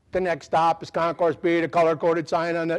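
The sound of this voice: In a put-on, robotic character voice, a man speaks at a high pitch and a fairly quick pace with monotone, flat intonation, in a very clean recording with a silent background.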